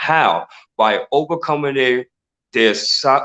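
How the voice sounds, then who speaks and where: A man speaks with a New York accent at medium pitch. The sound is dry and close, with no echo. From Brooklyn, New York. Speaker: mindset coach and inspirational speaker. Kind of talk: interview.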